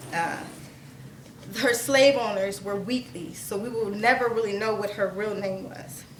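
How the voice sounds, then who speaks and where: A woman speaks fairly slowly at a medium pitch with ordinary variation and big swings in loudness, amid noticeable background noise and audible room echo. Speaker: spoken word poet. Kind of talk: storytelling; poetry performance. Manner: stuttering at times.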